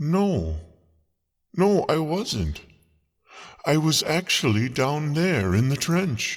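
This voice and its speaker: A man's put-on character voice, fairly high in pitch and gentle in tone, at a very slow pace with long, frequent pauses. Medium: audio drama. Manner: gentle, polite.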